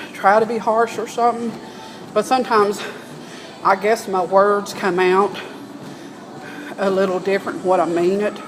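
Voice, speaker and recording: A woman with a Southern US accent at a moderate pace, fairly even intonation and long, frequent pauses, with audible room echo and noticeable background noise. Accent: US South. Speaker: vlogger. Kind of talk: casual monologue.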